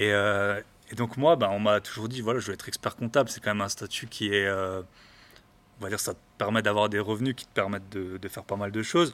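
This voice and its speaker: A man's fairly low voice at a fairly quick pace, fairly even in intonation but with big swings in loudness. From eastern France. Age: 30s. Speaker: real estate investor, podcaster. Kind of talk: casual interview. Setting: in person. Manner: halting.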